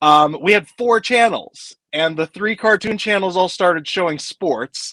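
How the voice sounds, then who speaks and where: A man's raised, projected voice with an American accent, high in pitch, bright and sharp in tone, at a fairly slow pace. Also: ordinary pitch variation. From Kansas (Wichita). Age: 40s. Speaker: film author. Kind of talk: casual chat.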